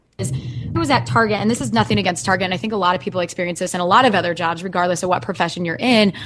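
With hardly any pauses, a woman races along at a very fast pace, her fairly low voice swinging very widely in pitch amid noticeable background noise. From Iowa (Dubuque), US Midwest. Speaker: freelance consultant and podcaster. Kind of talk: interview.

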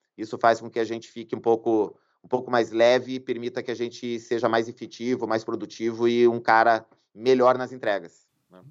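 A man's medium-pitched, flat and monotone voice at a moderate pace, with big swings in loudness over a quiet background. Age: 40s. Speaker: lawyer. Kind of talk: interview conversation.

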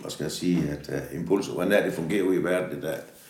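A man talks with a very deep, low pitch and ordinary pitch variation. Audible room echo and noticeable background noise surround his voice. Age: 60s. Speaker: factory yard worker. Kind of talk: interview. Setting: factory. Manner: halting.

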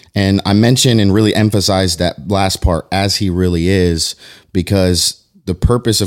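A man's fairly low voice, a normal speaking voice, with fairly even intonation at a moderate pace, on a very clean recording with a silent background. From Florida, moved from New York at six. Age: 20s. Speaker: youth pastor. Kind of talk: casual chat.

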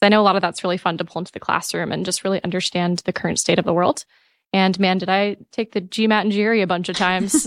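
Very fast speech with an American accent and fairly even intonation, a dry, close sound with no echo, and a very clean recording over a silent background. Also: woman, medium pitch for a woman. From California. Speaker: MBA student, former startup manager. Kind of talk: casual panel chat.

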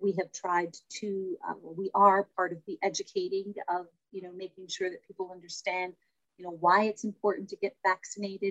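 With a Toronto accent, a woman speaks at a medium pitch in a monotone, flat way, her loudness swinging widely in a dry, close sound with no echo. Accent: Canadian (Toronto). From Toronto, Little Italy. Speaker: community services director. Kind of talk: interview.

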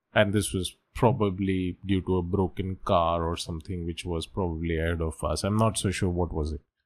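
A man speaks with hardly any pauses, his pitch very deep and low. His intonation is fairly even, on a very clean recording with a silent background. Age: 40s. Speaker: podcast host. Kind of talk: solo monologue. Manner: halting.

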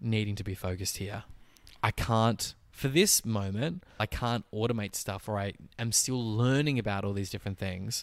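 In a very clean recording with a silent background, a man with an Australian accent talks at a moderate pace, his fairly low pitch showing ordinary variation. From Tasmania, Australia (Launceston). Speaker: actor and photographer. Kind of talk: casual chat.

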